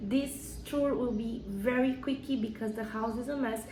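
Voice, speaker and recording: Over noticeable background noise and audible room echo, a woman speaks at a moderate pace. Her fairly high voice carries a Brazilian accent. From Brazil, São Paulo. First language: Portuguese. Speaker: vlogger. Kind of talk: casual home tour vlog. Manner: hesitant, searching for words.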